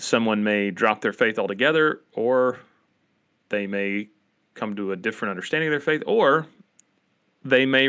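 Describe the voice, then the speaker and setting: Moderate pacing with long, frequent pauses, in a bright, sharp tone with an Appalachian accent. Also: man, very clean recording, silent background. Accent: Appalachian American. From Appalachia, US. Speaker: podcast host. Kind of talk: casual podcast discussion.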